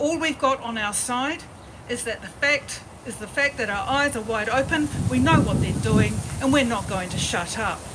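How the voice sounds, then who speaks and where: With a New Zealand accent and lively intonation, the speaker moves at a moderate pace over noticeable background noise. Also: woman, high pitch for a woman. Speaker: protest organiser. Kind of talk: protest speech. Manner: partly read aloud.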